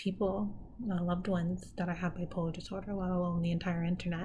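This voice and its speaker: Monotone and flat, a woman's somewhat breathy voice has a dark, mellow tone and a fairly low pitch, with audible room echo around it. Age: 30s. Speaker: mental health vlogger. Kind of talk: personal vlog monologue. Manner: hesitant, many fillers.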